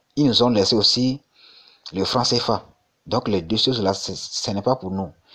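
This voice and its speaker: At a moderate pace, a man talks in a medium pitch with ordinary variation. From Togo. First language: Mina (Gen) (speaking French). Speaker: crypto YouTuber. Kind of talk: casual vlog monologue. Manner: halting, many repetitions and fillers.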